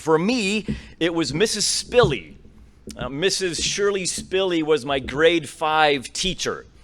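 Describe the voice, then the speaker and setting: A man speaks at a very slow pace in a high voice. His intonation is lively. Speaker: professor. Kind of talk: keynote lecture. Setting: stage with audience. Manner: loud.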